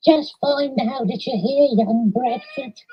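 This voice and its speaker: In a put-on character voice, a female-sounding voice speaks at a fairly slow pace and a high pitch for a woman. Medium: read story.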